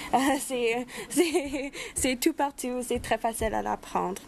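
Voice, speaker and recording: The speaker has a Spanish accent and a fairly slow pace. Pitch variation is ordinary, and there is noticeable background noise. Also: woman. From Saskatchewan. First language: Spanish (speaking French). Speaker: youth advocate. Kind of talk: prepared speech. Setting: round table.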